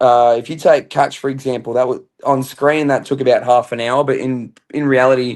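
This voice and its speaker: A man with an Australian accent talks at a moderate pace with hardly any pauses. His medium-pitched voice stays monotone and flat. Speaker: reality TV contestant. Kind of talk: interview.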